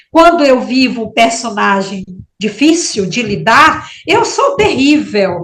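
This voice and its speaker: In a room with audible echo and noticeable background noise, a woman with a high pitch speaks at a very slow pace, her voice making very wide pitch swings. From Maranhão, northeastern Brazil. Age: 60s. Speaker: writer. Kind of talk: interview. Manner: halting.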